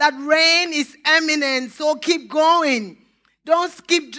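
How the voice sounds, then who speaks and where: In a raised, projected voice, a woman speaks very slowly at a high pitch with a bright, sharp tone. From Nigeria (Lagos). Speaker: pastor. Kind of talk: sermon.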